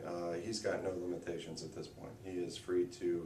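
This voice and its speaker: A man with a very deep, low pitch speaks at a moderate pace. There is noticeable background noise and audible room echo. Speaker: high school football head coach. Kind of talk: radio interview. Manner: hesitant, many fillers.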